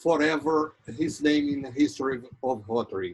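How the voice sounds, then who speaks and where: A man speaking at a very slow pace with a northeastern Brazilian accent. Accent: Brazilian (Ceará) accent in English. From Brazil, Ceará. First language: Portuguese. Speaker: Rotary program host. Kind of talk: interview introduction speech. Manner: halting.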